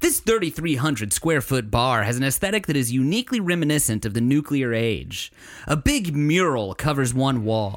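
A man with an unremarkable speaking voice talks at a moderate pace, fairly high in pitch, with lively intonation and very even loudness. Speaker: podcast co-host. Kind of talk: casual comedic banter podcast.

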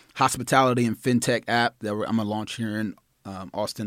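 A man with an American accent and a normal speaking voice, at a moderate pace with fairly even intonation, on a very clean recording with a silent background. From Nashville, Tennessee (US South). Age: 20s. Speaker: podcast guest. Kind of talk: casual chat.

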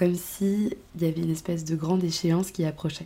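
A somewhat breathy woman's voice, fairly low in pitch, with a dark, mellow tone at a moderate pace. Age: 20s. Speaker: podcast host. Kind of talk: personal monologue. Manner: hesitant, many fillers.

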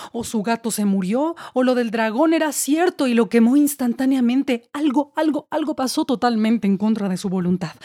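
A woman speaks at a moderate pace in a high voice with a dark, mellow tone and lively intonation, her delivery theatrical and dramatic, in a very clean recording with a silent background and a dry, close sound with no echo. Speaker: poet and actress. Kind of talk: performed spoken-word poem. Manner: wry, theatrical, dramatic with mock-tragic irony.

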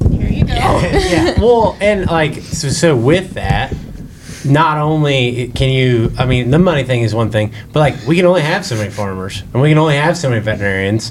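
With lively intonation and a fairly high pitch, a man speaks at a moderate pace over noticeable background noise. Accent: American. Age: 30s. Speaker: agriculture teacher and student club advisor. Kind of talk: casual group discussion. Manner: halting, many fillers.

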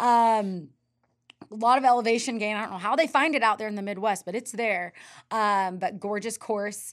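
With an American accent, a woman has an ordinary speaking voice and a fairly high pitch. She talks at a moderate pace with ordinary pitch variation on a very clean recording with a silent background. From US West (Northern California). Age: 30s. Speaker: ultra runner and running coach. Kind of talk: casual interview chat.

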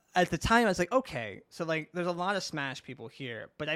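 In a very clean recording with a silent background, a man with a New York accent speaks in a bright, sharp tone with lively intonation. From US, New York (Brooklyn). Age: 30s. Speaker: video interviewer and content creator in the fighting game community. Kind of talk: casual chat.

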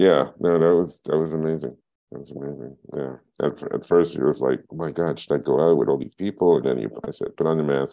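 With a New York accent, the speaker goes at a fairly quick pace with ordinary pitch variation. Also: man, very deep, low pitch for a man. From Brooklyn, New York (East Flatbush). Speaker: filmmaker and photographer. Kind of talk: oral history interview. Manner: halting, many fillers and repetitions.

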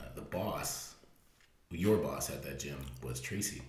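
A man with an American accent speaks very slowly with vocal fry and ordinary pitch variation. Room echo is audible. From US Midwest (Fremont, Ohio). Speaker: podcast co-host, fitness business owner. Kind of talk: casual chat.

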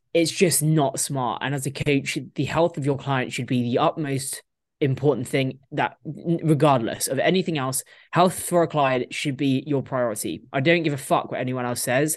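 A woman with a very deep, low pitch and a British accent, fairly even intonation, a moderate pace, and a quiet background. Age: 20s. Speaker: professional bodybuilder. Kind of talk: casual chat.

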